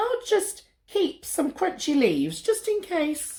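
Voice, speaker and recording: Squeaky and pitched extremely high, this put-on character voice moves at a fairly slow pace. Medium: read story.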